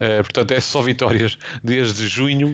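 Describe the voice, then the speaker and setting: There is noticeable background noise as a man speaks at medium pitch and a moderate pace with ordinary pitch variation. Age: 20s. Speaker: football podcast host. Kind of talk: casual chat.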